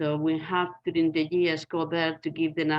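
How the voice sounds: Her pitch fairly low, a woman talks at a fairly slow pace in a Spanish accent.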